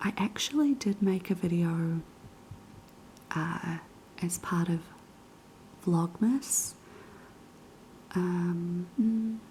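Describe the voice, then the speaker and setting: A soft-spoken woman with a fairly low pitch and a dark, mellow tone talks at a very slow pace, somewhat breathy, with very even loudness, ordinary pitch variation, and long, frequent pauses. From New Zealand. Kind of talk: casual talk to camera.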